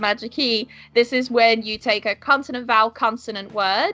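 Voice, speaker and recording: A woman with a Yorkshire accent, fairly high in pitch, at a moderate pace with fairly even intonation and music in the background. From northern England, York. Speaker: pronunciation teacher. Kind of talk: podcast interview.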